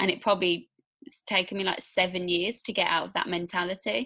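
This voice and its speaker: Over a silent background in a very clean recording, a woman with a Midlands accent speaks at a moderate pace. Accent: British Midlands. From English Midlands, near Birmingham. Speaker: podcast host. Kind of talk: interview conversation.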